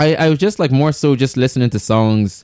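Recorded very cleanly against a silent background, a man talks at a fairly quick pace. He has an Irish accent and ordinary pitch variation. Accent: Irish (Louth). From Ireland, Dundalk, County Louth. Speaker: musician. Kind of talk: casual chat. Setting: studio.

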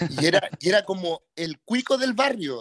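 A man at a very slow pace, lively in intonation, with a dry, close sound and no echo. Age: 30s. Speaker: radio DJ. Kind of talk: casual chat.

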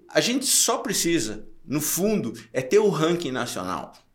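With audible room echo, a man talks at a fairly slow pace using very wide pitch swings. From interior of Santa Catarina, Brazil (Curitibanos). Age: 60s. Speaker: triathlon event organizer and entrepreneur. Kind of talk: casual interview.

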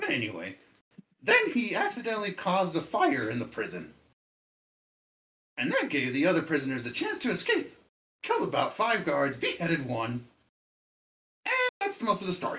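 Putting on a character voice, a man talks at a high pitch and a fairly quick pace, broken by long, frequent pauses. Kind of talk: comic overacting. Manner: mocking, offhand storyteller.

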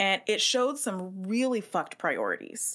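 In an American accent, a woman with an unremarkable speaking voice talks at a medium pitch with ordinary pitch variation, captured on a very clean recording with a silent background. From US West Coast, San Francisco Bay Area. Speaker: podcast host, teacher. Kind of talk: casual chat.

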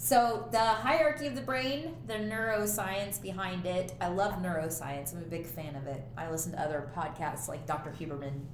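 Amid noticeable background noise and audible room echo, a woman with a fairly low pitch talks at a moderate pace, her pitch swinging very widely. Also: hardly any pauses. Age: 30s. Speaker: podcast co-host, counseling student. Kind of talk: casual chat.

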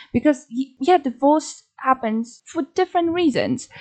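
In a Polish accent, a woman speaks with lively intonation and a dark, mellow tone. The sound is dry and close with no echo, against a quiet background. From Poland. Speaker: podcast co-host. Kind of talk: casual chat.

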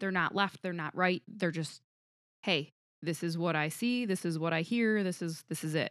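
A woman with an unremarkable speaking voice talks at a moderate pace. Her pitch is fairly low, with ordinary variation. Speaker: podcast co-host. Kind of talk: casual chat. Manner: laughs often.

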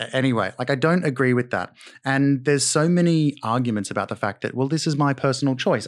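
On a very clean recording with a silent background, a man with an Australian accent talks at a fairly quick pace, with medium pitch and ordinary pitch variation. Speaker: actor. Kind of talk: casual chat. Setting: studio.

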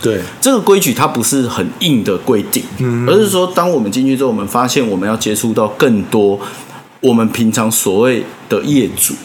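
A man talks at a moderate pace and medium pitch. Audible room echo and noticeable background noise surround him. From Taiwan, Taipei. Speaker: design podcast host. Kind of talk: casual chat.

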